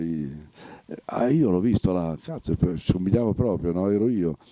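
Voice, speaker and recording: A man with a dark, mellow tone talks at a moderate pace with lively intonation and long, frequent pauses, the sound dry with no echo over a quiet background. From Romagna, Italy. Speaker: actor. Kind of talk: interview answer. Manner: lively storytelling, humorous. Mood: lively, amused storytelling. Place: home room. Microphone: handheld.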